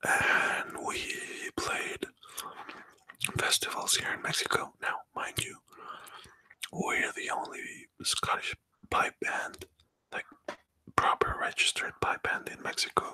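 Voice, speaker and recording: Whispering, a man speaks at a very slow pace with long, frequent pauses. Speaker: pipe band drummer. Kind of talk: ASMR story time. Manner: soft-spoken, whispered.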